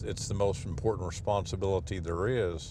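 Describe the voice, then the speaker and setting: Heard with audible room echo, a man with an American accent talks in a fairly even intonation. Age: 60s. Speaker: hospital CEO. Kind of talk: documentary interview.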